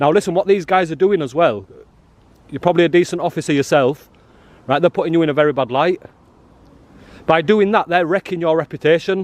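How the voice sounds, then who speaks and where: A loud man at a high pitch, in a northern English accent, very fast pace with long, frequent pauses, ordinary pitch variation, and a dry, close sound with no echo. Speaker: auditor. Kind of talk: confrontational street filming. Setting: outdoors. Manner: animated.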